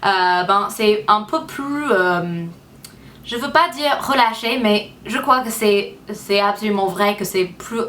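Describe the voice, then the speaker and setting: A woman with an English accent and a fairly high pitch talks at a very slow pace with ordinary pitch variation over noticeable background noise. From United States. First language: English (speaking French). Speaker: beauty vlogger. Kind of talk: casual vlog talk to camera. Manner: halting, many hesitations.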